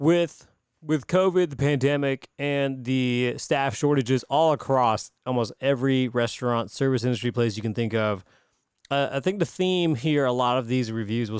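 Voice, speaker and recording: Recorded very cleanly with a silent background, a man with an American accent has an unremarkable speaking voice, medium pitch and ordinary pitch variation. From Greenville, South Carolina. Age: 30s. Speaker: podcast host. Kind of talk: casual chat.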